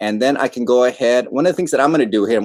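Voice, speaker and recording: In a quiet background, a man's voice is heard. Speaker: ed tech trainer. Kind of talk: tutorial. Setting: livestream. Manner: fast. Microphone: video call.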